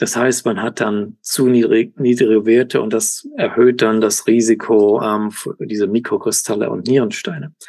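The delivery is at a moderate pace with fairly even intonation. The tone is dark and mellow. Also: man, medium pitch for a man, hardly any pauses. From Germany, Cologne. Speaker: professor and kidney researcher. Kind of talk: interview. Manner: halting, many fillers and English words.

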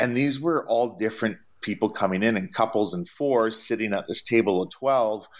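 A man with a Canadian accent and an unremarkable speaking voice talks at a moderate pace and medium pitch with ordinary pitch variation, on a very clean recording with a silent background. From Canada. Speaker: traveling chef. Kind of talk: interview.

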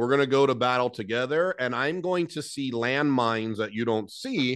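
Energetic in tone, a man with an American accent speaks at a moderate pace and medium pitch with ordinary pitch variation against a quiet background. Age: 40s. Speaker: HVAC business owner and business coach. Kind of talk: interview.

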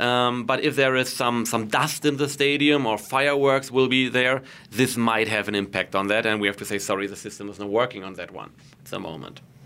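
Talking at a fairly quick pace with big swings in loudness, a man with a German accent has a medium pitch and ordinary pitch variation. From Germany. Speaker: goal-line technology executive. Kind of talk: interview.

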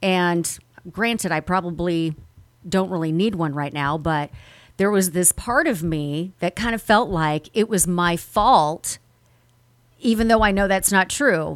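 A plain, everyday voice from a woman, fairly low in pitch, at a fairly slow pace with ordinary pitch variation, on a very clean recording with a silent background. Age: 40s. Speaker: podcast host, former radio personality. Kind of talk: personal monologue podcast.

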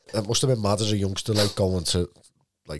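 A man talks with a Liverpool accent at a fairly low pitch. The recording is very clean, with a silent background. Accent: Scouse. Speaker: podcast host. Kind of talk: casual interview.

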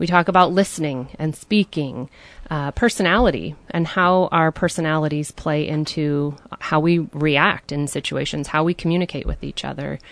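A woman with an American accent speaks at a moderate pace in a very deep, low pitch. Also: ordinary pitch variation, quiet background. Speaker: marriage program facilitator. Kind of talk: radio interview, explaining a program. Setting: radio studio.

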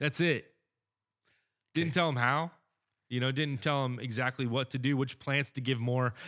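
The recording is very clean with a silent background as a man speaks in a bright, sharp tone at medium pitch, leaving long, frequent pauses. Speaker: podcast host. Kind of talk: casual chat. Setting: studio.

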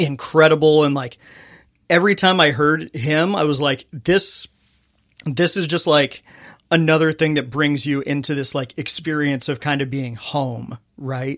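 A man with a Californian accent at a fairly slow pace, fairly even in intonation, on a very clean recording with a silent background. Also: fairly high pitch for a man. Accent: Californian American. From US West Coast, Inland Empire, California. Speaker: arena public address announcer. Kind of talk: casual interview chat.

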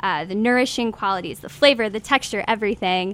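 A woman's voice at a medium pitch. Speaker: podcast host. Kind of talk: live radio show hosting. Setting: live audience in hotel suite. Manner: animated.

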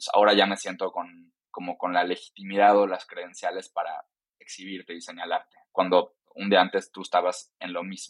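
The speaker barely pauses at all. Delivery is flat and monotone, with big swings in loudness. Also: man, very deep, low pitch for a man, moderate pace. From Mexico, Yucatán (Mérida). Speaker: diversity and inclusion consultant and activist. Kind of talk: interview.

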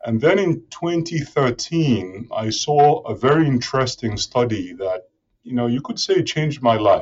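A man speaks at a fairly slow pace in a fairly high pitch. His voice is somewhat breathy and swings very widely in pitch. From Nigeria. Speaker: professor and food security researcher. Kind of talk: interview.

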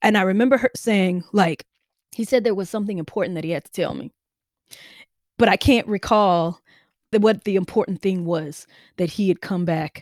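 A woman with a Mississippi accent, ordinary pitch variation, and a dry, close sound with no echo in a very clean recording with a silent background. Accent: Southern US (Mississippi). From Mississippi, US South. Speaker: novelist and creative writing professor. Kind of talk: interview conversation.

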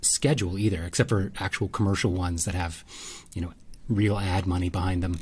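A somewhat breathy man talks at a fairly quick pace on a very clean recording with a silent background. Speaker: podcast co-host, photographer. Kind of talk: casual chat.

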